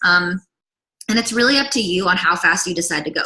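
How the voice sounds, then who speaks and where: Here a woman talks at a fairly quick pace in a medium-pitched voice. The pitch moves with ordinary variation. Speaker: direct sales consultant. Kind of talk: sales pitch. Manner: fast; animated.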